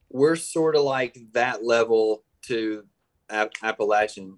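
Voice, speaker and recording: Recorded with a dry, close sound and no echo, a man talks with a Southern US accent. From Mississippi, Tupelo. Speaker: filmmaker. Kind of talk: casual interview.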